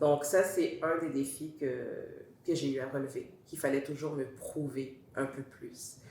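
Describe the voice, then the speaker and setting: With a Montreal accent and a very deep, low pitch, a woman talks at a fairly slow pace amid noticeable background noise and audible room echo. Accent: Montreal Quebec French. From Montreal, Quebec. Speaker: talk show guest. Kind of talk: interview testimony. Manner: hesitant, with fillers.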